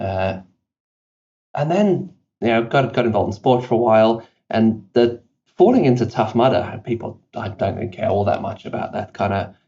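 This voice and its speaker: Speaking at a fairly quick pace, a man uses a medium pitch with ordinary pitch variation. His voice is somewhat breathy. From South Africa, British parents. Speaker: company CEO. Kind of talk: podcast interview. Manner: casual, many fillers.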